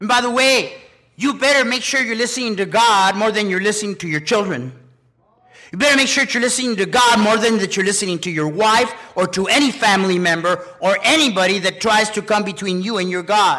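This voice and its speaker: In a raised, projected voice, a man with high pitch speaks at a fairly quick pace with ordinary pitch variation. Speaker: preacher. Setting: church with congregation. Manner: emphatic, commanding, urgent pulpit delivery with punchy short declarations; animated, exhorting, pausing for congregation amens.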